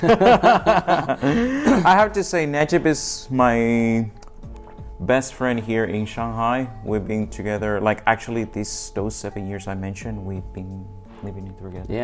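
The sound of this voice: Over music in the background, the speaker uses an American accent at a fairly slow pace, with lively intonation and big swings in loudness. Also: man, medium pitch for a man.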